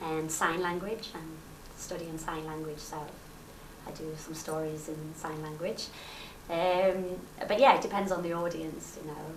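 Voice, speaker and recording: Against noticeable background noise, a woman with a fairly low voice talks at a fairly slow pace, with big swings in loudness and long, frequent pauses. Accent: Liverpool. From Liverpool, England. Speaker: rakugo comedian. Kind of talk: interview answer. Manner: lively, cheerful.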